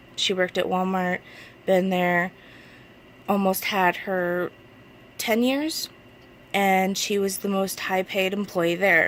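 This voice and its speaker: A woman with an American accent speaks at a very slow pace and medium pitch, with fairly even intonation and long, frequent pauses. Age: 20s. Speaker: vlogger asking for donations. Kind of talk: personal appeal to camera. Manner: halting.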